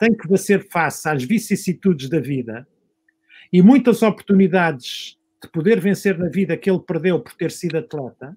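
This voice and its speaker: At a moderate pace, a man speaks in a high voice with lively intonation. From Portugal, Lisbon area. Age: 60s. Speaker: sports medicine doctor. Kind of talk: panel discussion.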